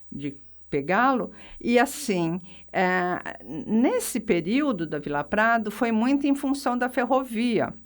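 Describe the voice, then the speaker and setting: On a very clean recording with a silent background, a woman speaks at a very slow pace with a fairly high pitch and very wide pitch swings. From Brazil, São Carlos (São Paulo state). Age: 60s. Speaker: retired physiotherapist and local historian. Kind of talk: radio interview.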